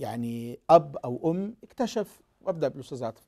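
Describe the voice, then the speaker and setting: Against a quiet background, a man with a fairly high pitch and a dark, mellow tone speaks with very wide pitch swings. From Egypt. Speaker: TV talk show host and pastor; TV talk show host, pastor. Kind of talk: TV talk show hosting. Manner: formal. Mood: earnest, hopeful. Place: studio. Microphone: lapel.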